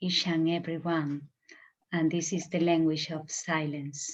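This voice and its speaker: The speaker has a Spanish accent. The intonation stays fairly even. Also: woman. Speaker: meditation teacher. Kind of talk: spiritual talk. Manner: halting, searching for words.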